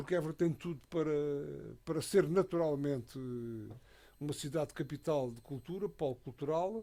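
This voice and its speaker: In a very clean recording with a silent background, a man with a fairly high pitch and a dark, mellow tone speaks at a moderate pace, with ordinary pitch variation and long, frequent pauses. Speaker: radio commentator. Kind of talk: radio panel discussion. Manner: halting, many fillers and repetitions.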